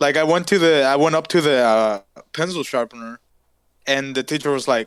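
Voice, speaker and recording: With a Spanish accent, a man speaks at a fairly high pitch, with ordinary pitch variation and very even loudness. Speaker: podcast co-host. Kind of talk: casual chat.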